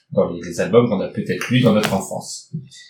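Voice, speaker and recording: In an unremarkable speaking voice, a man talks at a fairly quick pace and medium pitch with lively intonation. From northern France. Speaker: podcast host. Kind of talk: casual book discussion.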